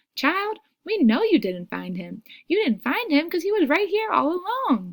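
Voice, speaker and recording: Putting on a squeaky character voice in a Southern accent, a woman speaks at a high pitch and a moderate pace with very wide pitch swings. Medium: read story. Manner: folksy, unhurried.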